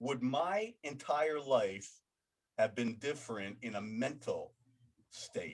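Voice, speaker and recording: The speaker is a man with a plain, everyday voice of medium pitch. He moves at a fairly slow pace with ordinary pitch variation. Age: 60s. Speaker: interview host, trainer with bipolar disorder. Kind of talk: interview conversation.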